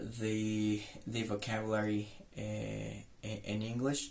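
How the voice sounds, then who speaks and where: The speech is very slow, in a slight Mexican accent. Audible echo fills the room. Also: man. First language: Spanish. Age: 20s. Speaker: English tutor. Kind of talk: self-introduction monologue. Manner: halting, many fillers and repetitions.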